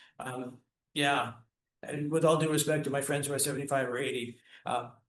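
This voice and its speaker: Here a man speaks at a fairly quick pace in a fairly high pitch. His intonation is monotone and flat. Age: 60s. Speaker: orchestra conductor, music educator, Parkinson's patient. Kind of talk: casual interview chat. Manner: halting, many repetitions and fillers.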